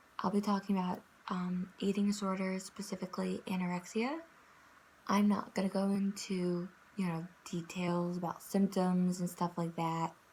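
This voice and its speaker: Somewhat breathy, the voice keeps a monotone, flat intonation at a moderate pace. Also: woman, medium pitch for a woman. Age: 20s. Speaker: vlogger, psychology student. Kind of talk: personal testimony vlog. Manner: hesitant, many fillers.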